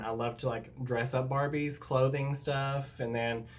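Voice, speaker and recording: A man speaks at medium pitch and a moderate pace in a Southern US accent. His voice is somewhat breathy, and audible room echo surrounds it. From US South. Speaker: YouTuber. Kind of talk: story time. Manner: casual, filler-heavy.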